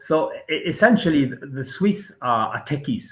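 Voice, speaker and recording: A somewhat breathy man at a moderate pace. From France (Brittany). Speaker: venture investor and author. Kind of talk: interview. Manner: halting.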